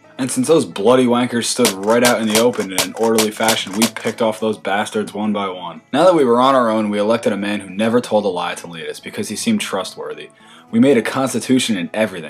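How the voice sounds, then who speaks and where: Amid noticeable background noise, a man rattles on at a very fast pace with hardly any pauses, medium pitch and ordinary pitch variation. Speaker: student animator narrating his own satirical history video. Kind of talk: comedic satirical history narration. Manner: irreverent, sarcastic.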